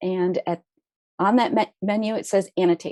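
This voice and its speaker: Speaking at a fairly quick pace, a woman has a dark, mellow tone in a dry, close sound with no echo. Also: quiet background. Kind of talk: webinar presentation. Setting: video call webinar. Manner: fast.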